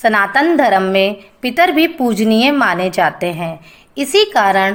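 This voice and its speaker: This woman has an unremarkable speaking voice with a fairly high pitch. Her intonation is lively. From Haryana, India. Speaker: voice-over artist; anchor. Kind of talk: religious festival explainer narration.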